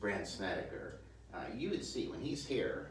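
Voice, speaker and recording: Noticeable background noise and audible room echo around a man's fairly slow speech. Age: 60s. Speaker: golf instructor. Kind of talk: tutorial. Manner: halting.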